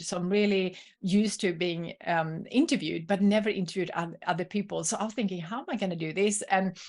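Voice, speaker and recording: Against a quiet background, the voice moves at a fairly quick pace with ordinary pitch variation. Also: woman. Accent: Swedish. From Sweden. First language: Swedish. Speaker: entrepreneur and coach. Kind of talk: podcast interview.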